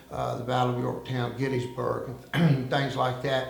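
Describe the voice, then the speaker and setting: In a Southern US accent, a man of medium pitch talks at a moderate pace. Audible room echo and noticeable background noise surround him. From United States, military family moving around. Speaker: former undercover informant. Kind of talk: interview. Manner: hesitant, many fillers.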